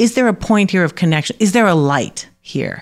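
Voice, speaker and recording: A woman's ordinary speaking voice with an American accent, lively intonation and a moderate pace. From New York City (Harlem and the Bronx). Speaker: professor. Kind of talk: interview conversation. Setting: remote from home.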